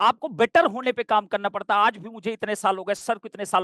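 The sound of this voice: A man's fairly bright tone at a fairly quick pace, in a dry, close sound with no echo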